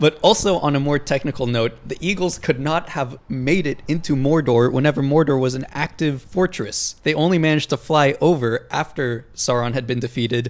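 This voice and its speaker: With hardly any pauses, a man talks at a moderate pace in a fairly high pitch with ordinary pitch variation. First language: Hebrew. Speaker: podcast co-host. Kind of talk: casual chat.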